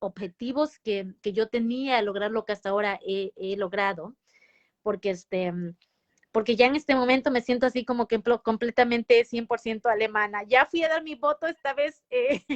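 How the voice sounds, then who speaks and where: At a moderate pace, a woman's speech shows ordinary pitch variation. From Mexico. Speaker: nurse. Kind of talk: interview. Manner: halting, many false starts and fillers.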